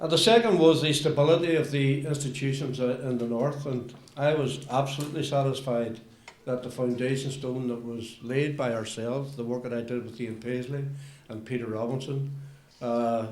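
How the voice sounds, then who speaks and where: With noticeable noise behind him, a man holds a moderate speed, a medium pitch and fairly even intonation. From Northern Ireland. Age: older. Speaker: politician. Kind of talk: political statement.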